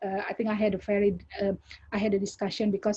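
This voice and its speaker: A woman talks at a very fast pace in a medium pitch. Her tone is dark and mellow, and her voice somewhat breathy. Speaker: academic. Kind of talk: academic Q&A answer. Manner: halting, many repetitions and fillers.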